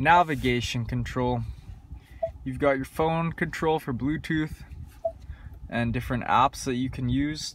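A man speaks at a fairly slow pace with fairly even intonation and long, frequent pauses. The sound is dry with no echo, over light background noise. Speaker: car salesperson. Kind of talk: product walkthrough commentary. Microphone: phone near.

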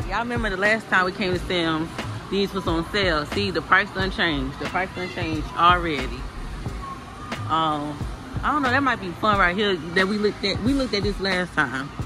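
A man speaks at a fairly quick pace in a high voice with ordinary pitch variation, while clear music plays in the background. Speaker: family vlogger. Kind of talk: casual vlog chat. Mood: playful, chatty. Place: shop. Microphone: phone near.

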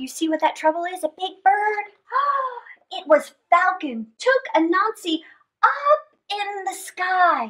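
Speaking slowly, a woman uses an extremely high pitch with big pitch swings and a bright, sharp tone.

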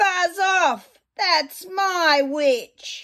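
A woman's shrill put-on character voice at an extremely high pitch. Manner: menacing.

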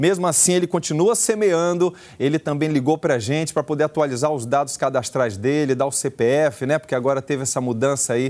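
A man talks with ordinary pitch variation at a fairly quick pace. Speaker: pastor, TV presenter. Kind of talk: fundraising appeal to viewers. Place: studio. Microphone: lapel.

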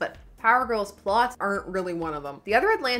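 The clip features an unforced reading voice.

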